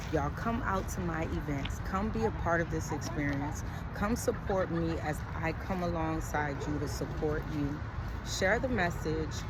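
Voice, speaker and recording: Delivered at a moderate pace, the speech comes with audible room echo and noticeable background noise. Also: woman. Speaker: emotional health advocate. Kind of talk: vlog monologue. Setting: outdoors in a park. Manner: quiet, low volume.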